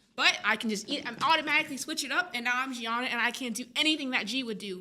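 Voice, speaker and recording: Over noticeable background noise, a woman talks at a very fast pace in an energetic tone, her high pitch showing ordinary variation. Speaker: filmmaker. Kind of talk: casual chat. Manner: energetic, fast.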